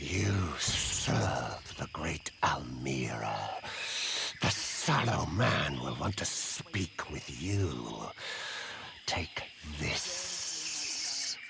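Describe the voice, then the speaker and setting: Whispering and hissing, a man performs a put-on character voice at a very slow pace. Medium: machinima.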